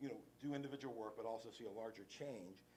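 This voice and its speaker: A very fast man's voice at medium pitch, with audible room echo. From West Virginia. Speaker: lawyer and nonprofit director. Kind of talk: conference talk. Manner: casual, halting with fillers.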